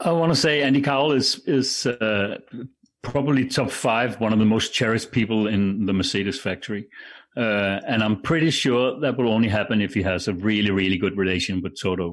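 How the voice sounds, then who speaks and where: Very even loudness, ordinary pitch variation and a fairly quick pace in a Danish accent, over a quiet background. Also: man, medium pitch for a man. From Denmark. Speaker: broadcaster. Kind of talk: casual chat.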